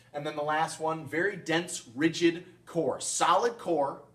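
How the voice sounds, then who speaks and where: There is audible room echo and noticeable background noise as a man talks at a fairly slow pace. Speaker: science teacher. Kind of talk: recorded lecture video.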